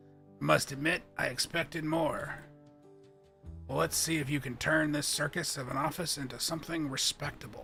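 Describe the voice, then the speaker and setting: Putting on a raspy character voice at a fairly high pitch, a man talks at a moderate pace while clear music plays behind him. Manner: haughty, disappointed.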